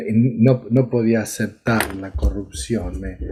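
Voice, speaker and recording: Noticeable noise fills the background. The man's voice sits at a medium pitch. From Argentina, Córdoba. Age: 70s. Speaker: psychiatrist. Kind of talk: interview.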